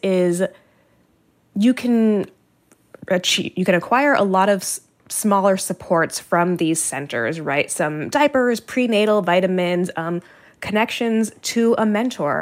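A woman uses a normal speaking voice, with lively intonation at a fairly slow pace. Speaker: health reporter. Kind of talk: radio interview discussion. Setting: remote from Washington studio.

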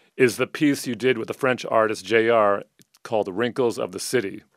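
In a very clean recording with a silent background and a dry, close sound with no echo, a man with an ordinary speaking voice talks at a moderate pace and medium pitch. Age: 40s. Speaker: podcast host and DJ. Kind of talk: casual interview chat. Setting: studio.

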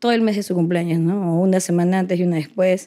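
Here is a woman's voice of medium pitch. Its tone is dark and mellow. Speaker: interviewee, daughter. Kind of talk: interview.

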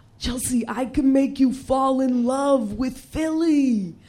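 In a put-on character voice, a woman speaks high with fairly even intonation. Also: fairly slow pace.

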